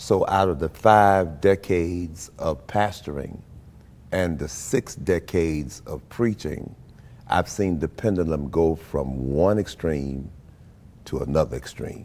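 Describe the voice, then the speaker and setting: This man talks at a very slow pace, his very deep, low pitch showing ordinary pitch variation. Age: 70s. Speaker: pastor. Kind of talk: interview.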